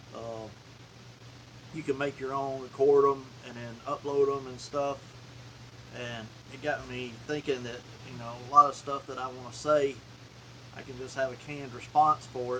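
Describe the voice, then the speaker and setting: A man with a Southern US accent, medium pitch and monotone, flat intonation, at a moderate pace with long, frequent pauses and big swings in loudness, amid noticeable background noise. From US South, Alabama (Talladega County). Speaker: outdoors and hobby YouTuber. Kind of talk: live stream casual chat. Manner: casual, with filler words.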